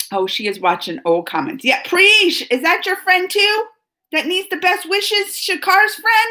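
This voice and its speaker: A woman with an extremely high pitch speaks at a fairly slow pace in a raised, projected voice, her bright, sharp tone animated and her pitch varying in an ordinary way. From US South, New Orleans, later moved north. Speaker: YouTube reaction host. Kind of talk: live stream chat reading viewer comments. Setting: live stream.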